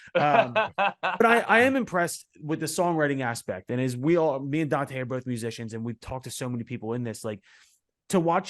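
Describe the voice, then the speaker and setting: A man with a Philadelphia accent speaks fairly quickly at a medium pitch. His intonation is lively, and the background is quiet. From Philadelphia, US Northeast. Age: 30s. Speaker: podcast host and musician. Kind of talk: casual interview chat.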